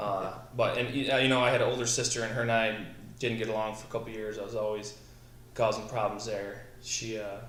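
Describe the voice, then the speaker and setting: With a Midwestern American accent, a man talks at a medium pitch in a monotone, flat intonation, with noticeable background noise and audible room echo. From Southwest Michigan. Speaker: military veteran, company founder. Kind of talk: casual interview.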